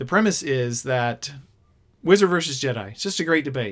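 Fairly high-pitched, a man speaks with lively intonation. His pace is moderate. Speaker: podcast co-host. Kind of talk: casual chat. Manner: clear-spoken.

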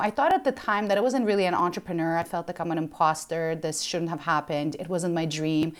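The speech comes at a very fast pace with hardly any pauses and ordinary pitch variation. The recording is very clean, with a silent background. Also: woman, fairly low pitch for a woman. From Ukraine. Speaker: entrepreneur. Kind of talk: interview.

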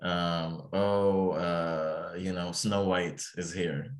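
Very deep and low in pitch, a man speaks with an Arabic accent. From Egypt. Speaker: psychology trainee. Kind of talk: interview. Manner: halting, many fillers and repetitions.

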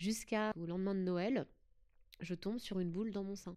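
Her tone is dark and mellow at a medium pitch. The woman keeps a moderate pace and fairly even intonation. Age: 30s. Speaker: breast cancer patient sharing her story. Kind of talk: testimony. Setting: recorded in a hotel.

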